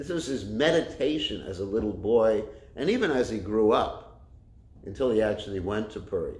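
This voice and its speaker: Pitch swings very widely throughout. Audible room echo surrounds the voice. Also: man. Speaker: Hare Krishna preacher. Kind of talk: religious lecture. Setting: temple class, streamed online. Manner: loud. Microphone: no microphone.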